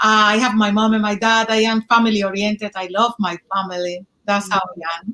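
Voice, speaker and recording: A woman with a Dominican accent talks at a fairly quick pace and medium pitch in monotone, flat intonation, with hardly any pauses and a dry, close sound with no echo. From Dominican Republic. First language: Spanish. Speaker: speaker mentorship student. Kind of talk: interview. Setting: live video stream. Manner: halting.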